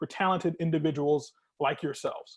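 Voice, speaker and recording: There is a quiet background as a man talks. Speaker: nonprofit program manager. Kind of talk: virtual presentation to students. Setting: video call. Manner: fast.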